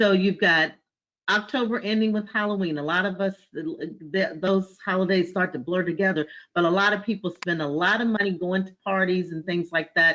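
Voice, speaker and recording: This woman talks at a fairly quick pace with fairly even intonation. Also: medium pitch for a woman. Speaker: financial services professional sharing business advice. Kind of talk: group discussion on a business webinar. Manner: fast.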